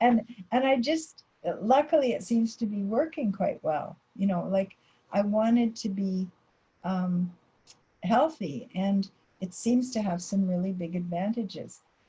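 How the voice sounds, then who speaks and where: Somewhat breathy and dark, mellow in tone, a woman of medium pitch speaks with lively intonation at a fairly slow pace, with long, frequent pauses. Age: 70s. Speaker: dietitian. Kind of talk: presentation Q&A.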